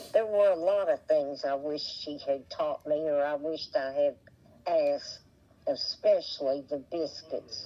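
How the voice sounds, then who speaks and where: A woman speaks in an Appalachian accent. Her pace is fairly slow. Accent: Appalachian southern drawl. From West Virginia, Appalachia. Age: 80s+. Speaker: interviewee, retired mother. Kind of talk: oral history interview. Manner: halting.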